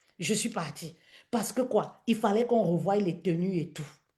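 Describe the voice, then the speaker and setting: Her tone animated, a woman speaks in a somewhat breathy voice. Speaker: business coach and live streamer. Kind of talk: live stream talk. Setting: live stream on social media.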